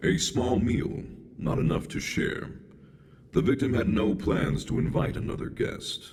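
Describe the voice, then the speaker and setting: A man uses a put-on character voice. His pitch is medium. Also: moderate pace. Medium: video game. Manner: detached, clinical.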